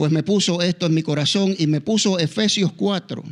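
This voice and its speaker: On a very clean recording with a silent background, a man with a Puerto Rican accent speaks at a moderate pace in a high pitch with fairly even intonation. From Puerto Rico. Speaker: pastor. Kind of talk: sermon. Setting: church. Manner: halting.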